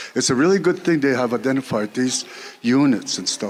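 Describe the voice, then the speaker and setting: Through noticeable background noise, a man speaks at a medium pitch with ordinary pitch variation. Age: 60s. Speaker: community member asking questions. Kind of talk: audience question at community meeting. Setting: community hall meeting with audience.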